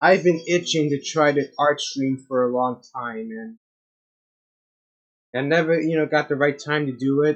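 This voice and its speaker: The delivery keeps a moderate pace. Long pauses come often. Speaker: streamer. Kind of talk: casual chat. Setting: live art stream. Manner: soft-spoken; halting.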